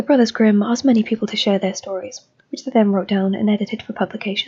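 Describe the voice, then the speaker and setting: A somewhat breathy woman speaks at a very fast pace with ordinary pitch variation. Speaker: amateur reader. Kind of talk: magazine article reading.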